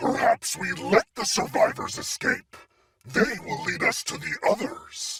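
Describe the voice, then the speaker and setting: Doing a put-on character voice, a man growls at a fairly slow pace in an extremely high pitch. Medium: video game. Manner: snarling, arrogant.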